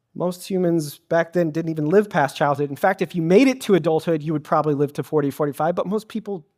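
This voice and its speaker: In a very clean recording with a silent background, a high-pitched man speaks at a very fast pace. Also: ordinary pitch variation. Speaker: pastor, sermon speaker. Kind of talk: church sermon, preaching to a congregation. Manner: conversational, audience-interactive.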